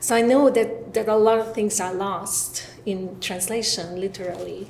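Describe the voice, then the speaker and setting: Noticeable background noise sits under this woman's voice. She speaks in a Hungarian accent at a moderate pace with fairly even intonation. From Hungary. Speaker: professor. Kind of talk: panel discussion. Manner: halting.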